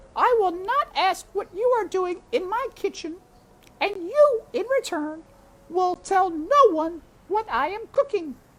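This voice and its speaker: A put-on character voice, squeaky and extremely high in pitch, comes at a fairly slow pace. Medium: read story. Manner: boisterous, folksy, laughs with ho-hee.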